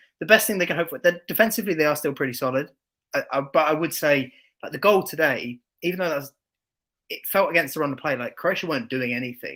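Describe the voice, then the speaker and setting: Speaking very fast with an English accent, a man has a bright, sharp tone. His pitch moves in an ordinary way. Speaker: football podcast co-host and content creator. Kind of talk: casual chat.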